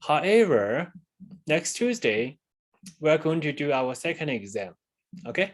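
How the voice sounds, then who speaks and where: His pitch swings very widely. The man's voice sits fairly high. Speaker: university lecturer. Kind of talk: lecture. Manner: halting.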